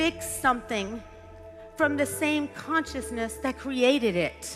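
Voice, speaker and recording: A woman's raised, projected voice with lively intonation at a fairly slow pace, music in the background. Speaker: business executive. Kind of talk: motivational speech.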